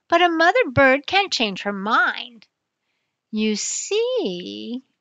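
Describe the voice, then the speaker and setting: A woman puts on a character voice, pitched high. She drags it out at a very slow pace. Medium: read story.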